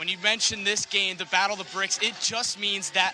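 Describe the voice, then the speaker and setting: A man's voice, high-pitched for a man, over noticeable background noise. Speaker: sports broadcaster, on-air journalist. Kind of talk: sideline reporter hit during a live game broadcast. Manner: energetic, upbeat.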